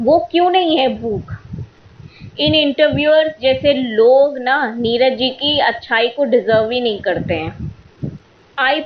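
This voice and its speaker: A woman talks in a high pitch with ordinary pitch variation over noticeable background noise. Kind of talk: podcast monologue. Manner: opinionated, irritated.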